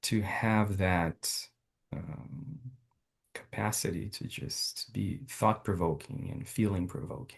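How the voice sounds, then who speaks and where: This man talks at a very slow pace with vocal fry, a fairly low pitch and lively intonation. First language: not English. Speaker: doctoral program participant. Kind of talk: casual chat.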